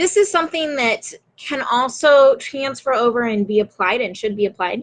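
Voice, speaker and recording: With a normal speaking voice, a woman talks at a moderate pace using lively intonation. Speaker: writing and marketing coach. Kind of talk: live stream talk to viewers. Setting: Facebook Live video.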